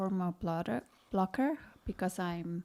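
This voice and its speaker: A woman with a South African accent speaks at a medium pitch in a dark, mellow tone. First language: not English. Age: 40s. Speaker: cancer patient, podcast co-host. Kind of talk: casual chat. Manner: halting, stuttering on some words.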